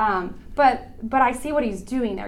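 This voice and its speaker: In an American accent, a woman speaks fairly slowly with ordinary pitch variation, and audible room echo surrounds her voice. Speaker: women's conference speaker. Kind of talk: talk at women's Bible conference.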